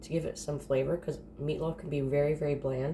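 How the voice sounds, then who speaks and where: Her dark, mellow tone carries vocal fry as the woman speaks. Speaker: home cooking vlogger. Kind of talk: casual cooking tutorial. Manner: casual, chatty.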